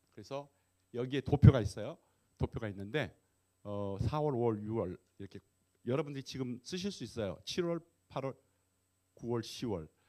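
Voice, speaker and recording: Speaking at a moderate pace with long, frequent pauses, a man with a medium-pitched, dark, mellow voice shows lively intonation and big swings in loudness. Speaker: pastor and guest lecturer. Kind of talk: lecture. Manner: hesitant with fillers.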